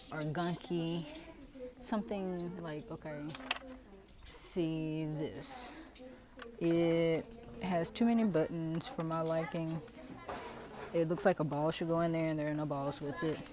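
A woman speaks with long, frequent pauses, in a dry sound with no echo and noticeable background noise. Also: fairly low pitch for a woman, ordinary pitch variation, fairly slow pace. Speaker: thrift shopping vlogger. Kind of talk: casual vlog chat. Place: shop. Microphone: earbuds.

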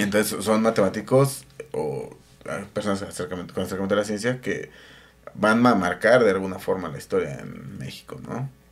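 With a Mexican accent, a man talks at a fairly quick pace and a fairly low pitch. His intonation is lively, and his loudness swings widely. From Mexico. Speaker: podcast co-host. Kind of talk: show outro thanks; casual chat. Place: home room. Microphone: studio mic.

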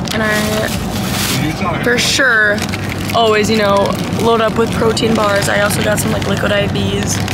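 A woman at a fairly slow pace, with a dry sound with no echo beneath loud background noise. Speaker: vlogger. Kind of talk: casual vlog chat. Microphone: phone near.

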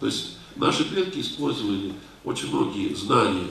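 Room echo is audible as a man talks over light background noise. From Russia, North Caucasus; Russia. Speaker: lecturer answering audience questions. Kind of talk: lecture with audience Q&A. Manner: halting, many filler sounds.

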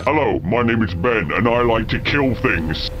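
Over loud background noise, a man does a put-on character voice at medium pitch and a moderate pace.

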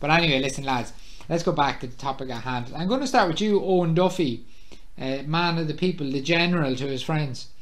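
At a fairly quick pace, a man with an Irish accent talks in a fairly high pitch. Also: ordinary pitch variation. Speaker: podcast host. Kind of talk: casual chat among friends.

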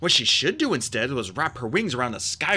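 The reading voice here is unforced.

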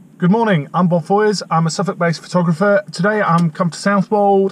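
Fairly even intonation from a male speaker. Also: dry sound with no echo. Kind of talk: casual vlog chat. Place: car. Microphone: phone near.

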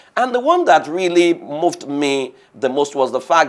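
A man speaks at a high pitch with very wide pitch swings. The background is quiet. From Nigeria. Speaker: diaspora commentator. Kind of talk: interview. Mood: reflective, mildly upbeat. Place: office. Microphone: lapel.

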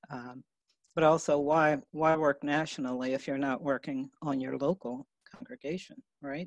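The speech comes at a moderate pace with fairly even intonation, the sound dry with no echo and the background quiet. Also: woman, very deep, low pitch for a woman. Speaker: racial justice trainer and consultant for congregations. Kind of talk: live video talk show interview. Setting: video call from a hotel room. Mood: calm, thoughtful. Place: home room. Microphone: video call.

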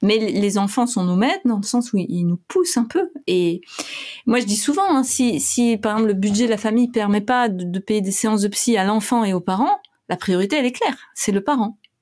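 Speaking in an ordinary speaking voice, a woman with a fairly high pitch talks at a moderate pace, showing ordinary pitch variation and very even loudness. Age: 40s. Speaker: clinical psychologist and author. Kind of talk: casual interview.

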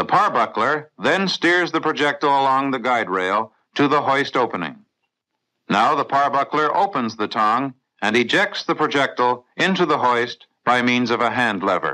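A man with a plain, everyday voice, medium pitch, lively intonation and very even loudness, at a moderate pace against a quiet background. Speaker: training film narrator. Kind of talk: vintage training film narration. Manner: formal; measured, authoritative, instructional.

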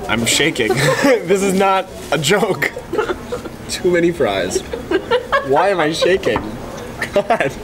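A man's slow speech at a fairly high pitch, with big pitch swings, long, frequent pauses and clear background noise

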